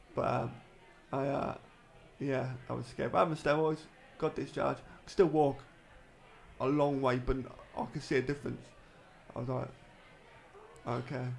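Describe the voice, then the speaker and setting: Speaking at a moderate pace, this man has a medium pitch and some vocal fry. His intonation stays fairly even, broken by long, frequent pauses. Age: 30s. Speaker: former footballer with MS. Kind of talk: casual interview.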